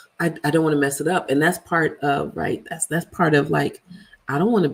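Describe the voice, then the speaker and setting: Animated in tone, a woman speaks with a very deep, low pitch. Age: 50s. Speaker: vlogger. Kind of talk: casual livestream chat. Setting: live video stream.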